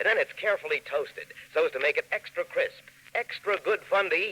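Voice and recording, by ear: With lively intonation, a man talks at a fairly quick pace in a high pitch with a bright, sharp tone.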